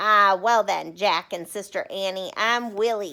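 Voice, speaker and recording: Using a put-on character voice at a medium pitch, a woman speaks at a fairly slow pace in a very clean recording with a silent background. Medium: read story. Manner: chatty, cheeky.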